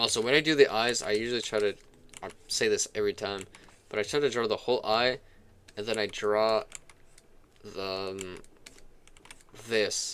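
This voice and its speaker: A man's medium-pitched voice with fairly even intonation, a moderate pace, and long, frequent pauses. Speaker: gaming and art streamer. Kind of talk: casual live stream chat. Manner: hesitant, many fillers.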